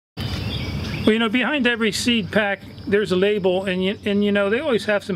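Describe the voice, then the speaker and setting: There is noticeable background noise as a high-pitched man talks with hardly any pauses. His intonation stays fairly even. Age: 60s. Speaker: gardening channel host. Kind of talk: tutorial. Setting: outdoors. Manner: casual, filler-heavy.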